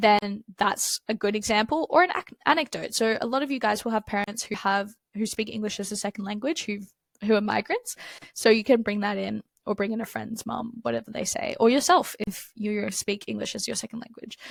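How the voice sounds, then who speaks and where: A woman with an Australian accent talks at a fairly quick pace, her fairly high pitch showing vocal fry and ordinary pitch variation. The recording is very clean with a silent background, the sound dry and close with no echo. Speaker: exam tutor. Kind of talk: tutorial. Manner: casual, conversational.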